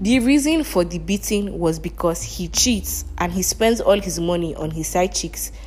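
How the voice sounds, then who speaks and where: The speech moves at a moderate pace with hardly any pauses, set against noticeable background noise. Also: woman. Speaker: podcast host. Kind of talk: casual monologue commentary. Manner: animated.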